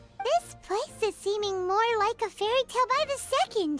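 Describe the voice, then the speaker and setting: A female-sounding voice, squeaky and extremely high in pitch, performs a put-on character voice at a moderate pace. Faint music plays in the background. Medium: video game. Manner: lively, third-person speech.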